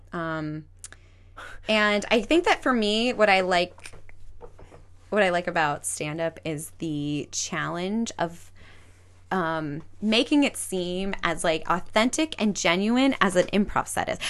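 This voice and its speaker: Very slowly and with lively intonation, a woman speaks in an American accent. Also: medium pitch for a woman. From US West Coast, Los Angeles area (Glendale). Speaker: comedian and actress. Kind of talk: casual interview chat.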